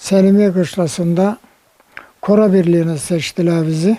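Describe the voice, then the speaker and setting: This man has a high voice with fairly even intonation and speaks at a fairly slow pace. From Bucak, Burdur, Turkey. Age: 80s+. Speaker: Korean War veteran. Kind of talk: interview answer.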